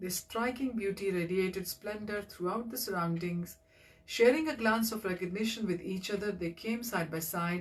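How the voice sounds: Ordinary pitch variation shapes this natural reading voice.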